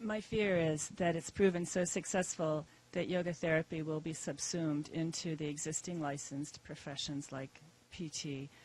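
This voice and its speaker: This woman's pitch is very deep and low, with fairly even intonation. She is soft-spoken and keeps a moderate pace. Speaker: yoga therapist. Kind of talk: audience question at conference panel.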